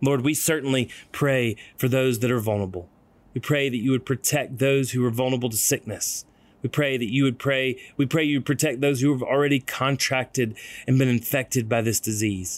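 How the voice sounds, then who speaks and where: Over a very clean recording with a silent background, a man with a plain, everyday voice speaks fairly quickly at a medium pitch, with very even loudness and fairly even intonation. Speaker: ministry leader leading prayer. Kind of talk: guided prayer.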